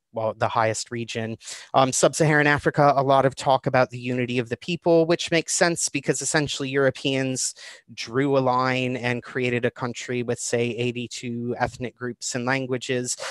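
A man speaks in a Chicago accent with fairly even intonation. The background is quiet, and the sound is dry with no echo. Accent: American, Chicago. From Chicago, USA. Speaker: guest presenter. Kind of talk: online talk to a livestream audience. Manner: casual, hesitant with fillers. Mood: light humorous. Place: home room. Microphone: webcam.

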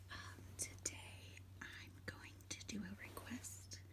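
Noticeable background noise sits behind a woman's very deep, low voice. She speaks at a very slow pace. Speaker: ASMR creator. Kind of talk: ASMR whisper video. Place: home room. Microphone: phone near.

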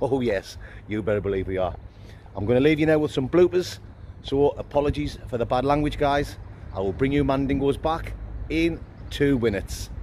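Speaking at a fairly quick pace with lively intonation, a man is heard over light background noise. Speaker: outdoors vlogger. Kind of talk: casual vlog chat. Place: street. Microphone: phone near.

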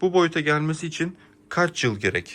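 In a quiet background, a man speaks at a fairly slow pace with a bright, sharp tone. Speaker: aquarium hobby YouTuber. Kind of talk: video tutorial vlog. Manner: hesitant, many filler sounds.

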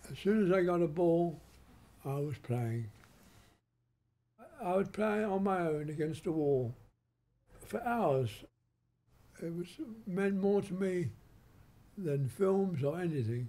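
Speaking very slowly with long, frequent pauses, a man uses a dark, mellow tone, a high pitch and lively intonation. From England. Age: 80s+. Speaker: film director. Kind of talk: interview answer. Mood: warm nostalgic reminiscing. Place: home room.

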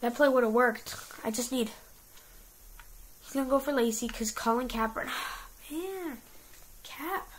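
There is noticeable background noise as a woman talks at a high pitch with ordinary pitch variation. She keeps a moderate pace but takes long, frequent pauses. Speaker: gaming youtuber. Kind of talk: gameplay commentary; casual chat. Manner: animated.

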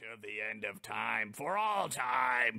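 Putting on a booming character voice, a man speaks at medium pitch and a fairly slow pace. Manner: ominous.

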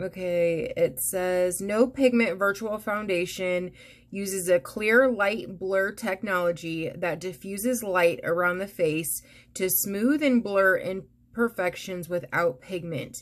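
A woman speaks at a very slow pace. Her pitch varies in an ordinary way. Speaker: beauty vlogger. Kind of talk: casual vlog chat. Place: home room. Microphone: phone near.

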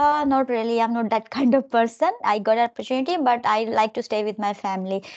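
Against a quiet background, a woman speaks very fast with hardly any pauses, fairly high in pitch, with ordinary pitch variation. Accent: Indian. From India, Delhi. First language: Hindi. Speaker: English tutor. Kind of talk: casual chat. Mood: calm, friendly. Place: home room. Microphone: video call.

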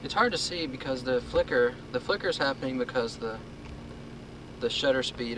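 A man's voice at a moderate pace, fairly even in intonation, dry with no echo, over noticeable background noise. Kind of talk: casual commentary. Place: car. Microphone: old recording.

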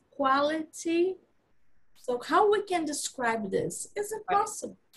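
A woman with a Brazilian Portuguese accent talks at a fairly slow pace. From Brazil, Rio de Janeiro. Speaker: knitting designer and teacher; teacher. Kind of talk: casual interview chat. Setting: video call. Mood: thoughtful, reflective. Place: home room. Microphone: video call.

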